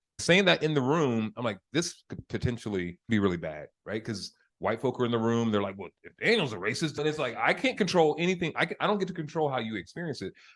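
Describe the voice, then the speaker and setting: Very fast, nearly pause-free speech from a man at medium pitch, with very wide pitch swings and a quiet background. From United States. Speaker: facilitator and community organizer. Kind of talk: podcast conversation. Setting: live podcast recording with audience.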